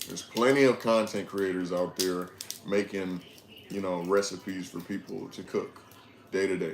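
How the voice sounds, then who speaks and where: At a moderate pace and with fairly even intonation, this voice carries over noticeable background noise. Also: man, very deep, low pitch for a man. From Detroit, Michigan, US. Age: 20s. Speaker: livestreamer. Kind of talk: casual livestream chat.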